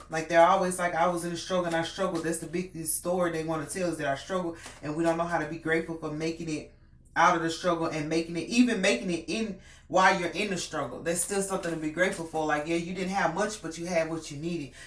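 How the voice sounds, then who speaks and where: A woman's fairly low voice at a very fast pace, with audible room echo and noticeable background noise. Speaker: tarot reader. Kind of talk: tarot reading. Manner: casual, hesitant with many fillers.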